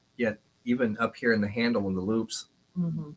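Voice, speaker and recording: In a plain, everyday voice, a man speaks at a medium pitch with ordinary pitch variation. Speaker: leather goods maker and auctioneer. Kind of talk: casual product demonstration in a talk show.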